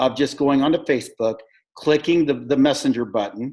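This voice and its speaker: Speaking with an American accent, a man has an unremarkable speaking voice at a fairly high pitch. He moves at a fairly quick pace with ordinary pitch variation. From United States. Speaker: network marketing sponsor. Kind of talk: video call team meeting.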